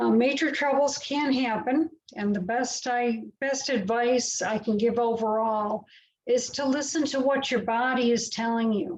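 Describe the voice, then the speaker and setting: Fairly high in pitch, a woman talks in an ordinary speaking voice. Her pace is fairly slow and her intonation fairly even. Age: 60s. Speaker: patient speaker. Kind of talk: prepared talk read aloud. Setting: online webinar.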